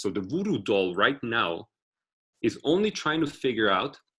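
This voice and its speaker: A man with a non-native accent, bright, sharp tone and moderate pace. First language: not English. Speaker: author and tech speaker. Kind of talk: online workshop talk. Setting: video call.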